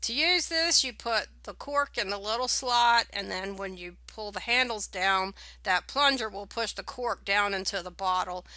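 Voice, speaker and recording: A woman speaks in a bright, sharp tone at a moderate pace with hardly any pauses and big swings in loudness, in a very clean recording with a silent background. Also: medium pitch for a woman, ordinary pitch variation. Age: 60s. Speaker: home winemaking video maker. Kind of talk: tutorial. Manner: casual, with filler words.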